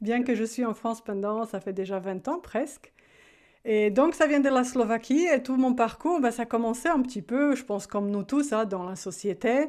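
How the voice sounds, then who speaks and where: Against a quiet background, a woman speaks at a moderate pace. Her pitch is fairly high. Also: ordinary pitch variation. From Slovakia. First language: Slovak (speaking French). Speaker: life coach. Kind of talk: interview.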